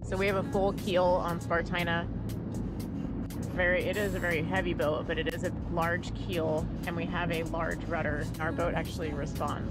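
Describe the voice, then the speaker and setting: A woman speaks at a moderate pace with music in the background. The sound is dry, with no echo. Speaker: sailing vlogger. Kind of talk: casual vlog chat. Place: boat. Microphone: phone near.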